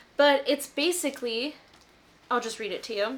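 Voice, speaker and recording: A high-pitched woman talks at a moderate pace, with noticeable noise in the background. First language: not English. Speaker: lifestyle and book vlogger. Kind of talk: casual chatty vlog. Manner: casual, chatty.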